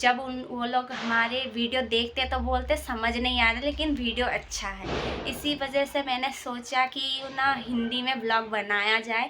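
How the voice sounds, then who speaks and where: Over noticeable background noise, a woman speaks with a high pitch and monotone, flat intonation, hardly pausing at all. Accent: Assamese. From Assam, India. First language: Assamese (speaking Hindi). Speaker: vlogger. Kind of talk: casual vlog. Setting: indoors at home.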